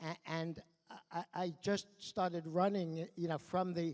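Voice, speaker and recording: A man speaks with a New York accent at a high pitch. His intonation stays fairly even. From New York, Brooklyn. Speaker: award honoree, education exchange executive. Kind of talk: award acceptance speech. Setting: stage at awards dinner. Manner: halting, many fillers and repetitions.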